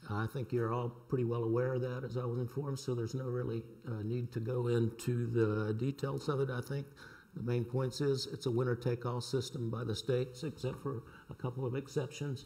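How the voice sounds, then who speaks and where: Somewhat breathy and at a medium pitch, a man with a Southern US accent talks at a fairly quick pace. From US South, North Carolina. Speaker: sociology professor. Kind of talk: reading aloud a prepared talk. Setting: lecture panel with audience.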